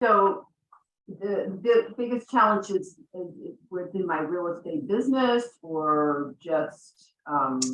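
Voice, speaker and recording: Pitched at a medium level, a woman speaks at a very slow pace. Her intonation is lively, and her loudness swings a lot. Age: 60s. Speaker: real estate broker. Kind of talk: panel discussion.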